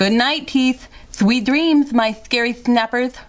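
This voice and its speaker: A woman's put-on character voice, high-pitched and fairly even in intonation, at a fairly slow pace. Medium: read story.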